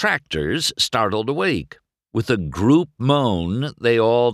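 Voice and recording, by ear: Reading aloud in a natural voice, the speaker uses lively intonation against a quiet background.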